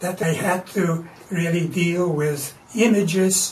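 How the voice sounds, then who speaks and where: A man with a high pitch speaks at a very slow pace. Noticeable background noise and audible room echo fill the recording. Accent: Latvian. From Latvia. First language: Latvian. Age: 80s+. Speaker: artist. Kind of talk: interview. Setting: artist's studio.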